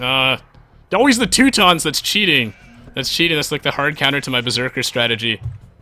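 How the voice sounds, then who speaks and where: Fairly quick speech from a man, music playing behind. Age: 20s. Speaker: gaming YouTuber and streamer. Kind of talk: gameplay commentary. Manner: animated.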